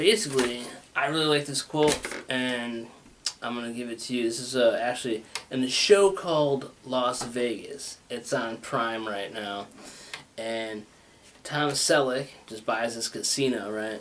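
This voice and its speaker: With noticeable background noise, a man speaks at a fairly slow pace, medium pitch and ordinary pitch variation. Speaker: talk show host. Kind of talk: casual monologue. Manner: rambling, halting.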